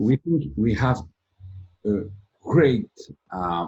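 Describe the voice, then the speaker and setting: Speaking at a very slow pace, a man with a French accent has a somewhat breathy voice and a dark, mellow tone. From France. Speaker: company president, IT service provider. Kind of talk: interview. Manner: halting.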